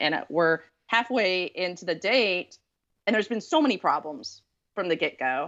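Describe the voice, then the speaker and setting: An unremarkable speaking voice with lively intonation moves at a moderate pace. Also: woman. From East Texas. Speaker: author. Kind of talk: casual chat.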